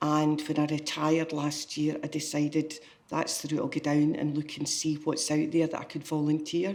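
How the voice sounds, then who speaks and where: A woman's very deep, low voice with a west of Scotland accent, monotone and flat in intonation, at a moderate pace. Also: hardly any pauses. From Scotland, Greenock. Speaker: volunteer, retired care worker. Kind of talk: interview testimony.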